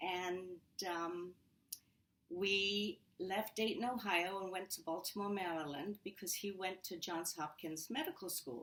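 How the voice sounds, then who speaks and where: A woman speaks with an English accent. Her pace is very slow. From England. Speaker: home care business owner. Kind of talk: interview.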